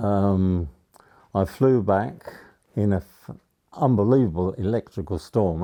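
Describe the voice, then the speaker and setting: A man speaks with an English accent. His tone is dark and mellow. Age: 90s. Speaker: war veteran. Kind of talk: interview. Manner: halting.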